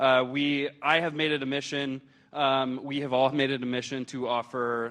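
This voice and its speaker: The man's intonation is monotone and flat. He keeps a moderate pace. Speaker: hospital food service chef. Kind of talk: presentation to audience. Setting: stage with audience, handheld mic. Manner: loud; hesitant, many fillers.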